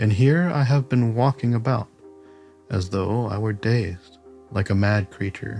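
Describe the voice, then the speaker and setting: Over music in the background, a man delivers his words at a fairly slow pace. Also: medium pitch for a man, ordinary pitch variation. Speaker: podcast host. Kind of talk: audiobook reading.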